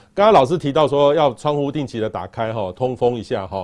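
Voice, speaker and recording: This is a man talking. His pitch sits fairly high. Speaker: podcast host, weather expert. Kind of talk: interview.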